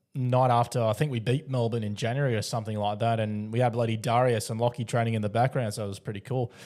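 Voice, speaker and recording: A man with an Australian accent talks at a very fast pace, his pitch medium and intonation fairly even. The recording is very clean, with a silent background. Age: 20s. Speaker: podcast host. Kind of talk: casual interview chat.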